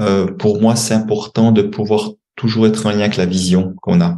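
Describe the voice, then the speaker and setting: A man's fairly low, dark, mellow voice at a moderate pace, with ordinary pitch variation. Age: 60s. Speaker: money coach and author. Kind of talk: podcast interview. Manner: hesitant, many fillers and repetitions.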